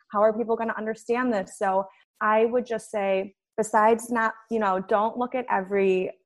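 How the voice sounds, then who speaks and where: At a fairly quick pace, a woman with an American accent and a plain, everyday voice speaks at a fairly high pitch with fairly even intonation. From US Midwest, Chicago. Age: 30s. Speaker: nutritionist and personal trainer. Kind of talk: podcast interview.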